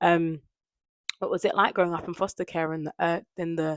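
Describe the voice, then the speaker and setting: A woman speaks at a fairly low pitch in a monotone, flat intonation. The recording is very clean with a silent background and a dry, close sound with no echo. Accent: London. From London, England. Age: 20s. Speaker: lifestyle vlogger. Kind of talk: casual vlog chat to camera. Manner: softer speaking lately.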